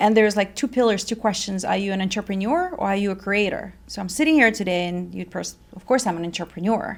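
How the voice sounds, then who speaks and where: Speaking at a fairly quick pace, a woman has a slight Russian accent. Her medium pitch carries ordinary pitch variation. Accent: Russian, slight, well controlled. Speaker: fitness company founder. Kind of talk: interview.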